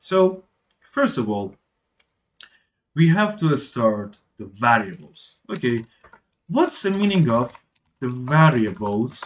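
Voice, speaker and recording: A man's very slow speech with long, frequent pauses, very wide pitch swings and a non-native accent. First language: not English. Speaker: programming tutor. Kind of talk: tutorial. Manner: halting.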